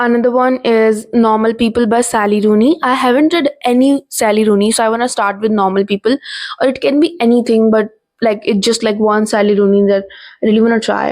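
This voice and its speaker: In an Indian accent, a woman speaks at a fairly quick pace and a fairly high pitch, with ordinary pitch variation and very even loudness. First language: Hindi. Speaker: book vlogger. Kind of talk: casual vlog talk. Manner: hesitant, many fillers.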